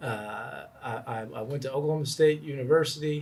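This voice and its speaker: At a moderate pace, a man with a Texan accent sounds somewhat breathy, his pitch varying in an ordinary way. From Texas, Fort Worth. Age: 30s. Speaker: entrepreneur. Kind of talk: interview. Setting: in person.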